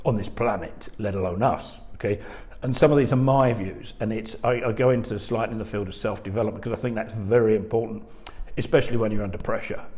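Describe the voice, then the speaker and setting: A man at a very fast pace, medium pitch and fairly even intonation, with audible room echo. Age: 60s. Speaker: insolvency firm chairman. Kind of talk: webinar presentation. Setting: video webinar.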